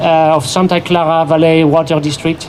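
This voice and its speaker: A man is talking with noticeable background noise in the recording. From abroad, not native English speaker. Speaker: environmental activist. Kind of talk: public speech at rally. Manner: halting, many fillers.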